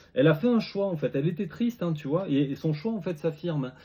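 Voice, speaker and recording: A man with a dark, mellow, somewhat breathy tone, lively intonation and a fairly quick pace. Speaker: tarot reader. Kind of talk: tarot reading video. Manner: fast; halting, repetitive.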